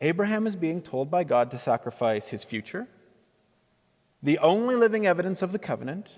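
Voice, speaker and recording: A man with a fairly high pitch moves through very wide pitch swings at a moderate pace. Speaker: pastor giving a sermon. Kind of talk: church sermon, preaching to a congregation. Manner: conversational, wry.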